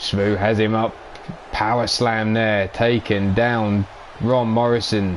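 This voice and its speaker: A man speaks very slowly at a fairly low pitch, in monotone, flat intonation with very even loudness. Noticeable background noise is present. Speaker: live-stream wrestling commentator and host. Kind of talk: live wrestling commentary.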